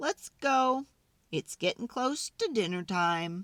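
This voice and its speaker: A female-sounding, high-pitched put-on character voice at a fairly slow pace, in a very clean recording with a silent background. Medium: read story.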